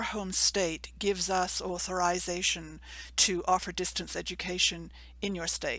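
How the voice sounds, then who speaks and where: A woman speaks with a slight English accent at a fairly slow pace. Her tone is bright and sharp, and the recording is very clean with a silent background. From England. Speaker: university program coordinator. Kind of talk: informational presentation. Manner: measured, formal.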